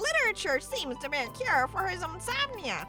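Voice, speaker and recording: Over clear music in the background, someone performs a put-on character voice at a moderate pace. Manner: high-pitched put-on voice.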